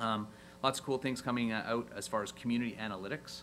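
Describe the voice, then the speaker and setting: The words come out of this man very fast. The room around him has an audible echo. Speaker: software company representative on a panel. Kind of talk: conference panel presentation.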